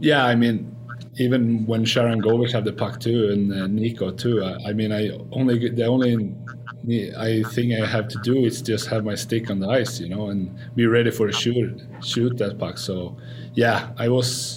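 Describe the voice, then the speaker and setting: Over noticeable background noise, a man with a Swedish accent talks at a moderate pace and medium pitch in a monotone, flat intonation. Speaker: hockey player. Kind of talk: casual interview. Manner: halting.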